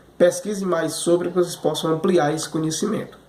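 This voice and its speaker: A man at high pitch and a fairly quick pace, with audible room echo and noticeable background noise. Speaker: history teacher. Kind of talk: remote class lecture review. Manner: repetitive fillers, stammering repeats.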